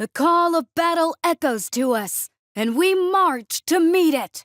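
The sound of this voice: In a put-on character voice, a woman growls at an extremely high pitch with a fairly bright tone, lively intonation and a fairly slow pace, on a very clean, silent-background recording with a dry, close sound and no echo.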